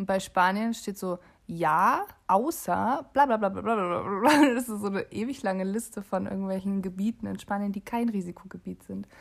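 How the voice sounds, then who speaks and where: The speech moves at a moderate pace. Its pitch variation is ordinary. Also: woman, medium pitch for a woman. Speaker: podcast co-host. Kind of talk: casual chat.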